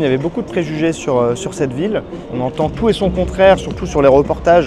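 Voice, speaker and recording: A man with a fairly high voice talks at a very fast pace with ordinary pitch variation while music plays in the background. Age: 20s. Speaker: youtuber, video editing coach. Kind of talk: casual vlog monologue. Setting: outdoors. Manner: animated.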